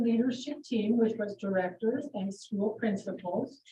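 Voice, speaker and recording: With an unremarkable speaking voice, a woman talks at a moderate pace and fairly high pitch, her pitch varying in an ordinary way. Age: 60s. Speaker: school superintendent. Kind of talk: public meeting statement.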